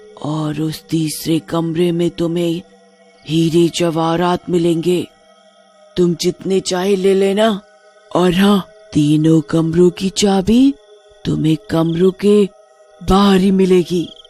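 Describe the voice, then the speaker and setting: A put-on character voice sits at a middle pitch and moves at a very slow pace. Faint music plays in the background. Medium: read story. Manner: coaxing, sly.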